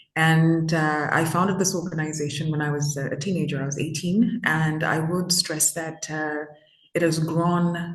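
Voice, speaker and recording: A moderate pace and fairly even intonation, with room echo that can be heard. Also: woman. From Zimbabwe. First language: Shona. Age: 20s. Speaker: youth activist. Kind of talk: interview. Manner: hesitant, many fillers.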